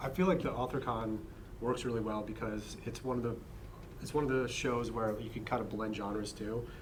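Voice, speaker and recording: With audible room echo, a man speaks at medium pitch and a fairly quick pace, his pitch varying in an ordinary way. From Pennsylvania, US. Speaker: horror author, panelist. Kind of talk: convention panel discussion. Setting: panel at a book convention.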